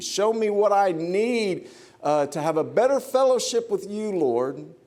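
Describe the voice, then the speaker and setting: Very wide pitch swings from a man, with room echo audible around the voice. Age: 50s. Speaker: preacher. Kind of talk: sermon. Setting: church.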